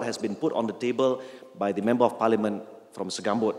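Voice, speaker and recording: Noticeable background noise is present. The voice belongs to a man. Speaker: member of parliament. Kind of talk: public speech.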